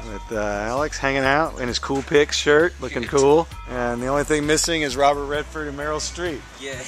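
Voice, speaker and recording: Clear music sounds in the background. A man speaks over it at a moderate pace. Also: dry sound with no echo. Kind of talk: casual vlog chat. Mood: cheerful, laughing. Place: garden. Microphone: phone near.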